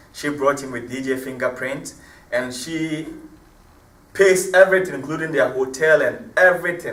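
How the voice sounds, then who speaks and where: A man with a fairly high pitch and an animated tone at a moderate pace, with long, frequent pauses, big swings in loudness and audible room echo. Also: ordinary pitch variation. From Ghana, Cape Coast. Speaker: hip-hop artist. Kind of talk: interview.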